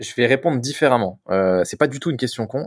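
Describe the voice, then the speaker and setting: Recorded very cleanly with a silent background and a dry, close sound with no echo, a man at medium pitch talks at a very fast pace. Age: 30s. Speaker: business owner. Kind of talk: interview.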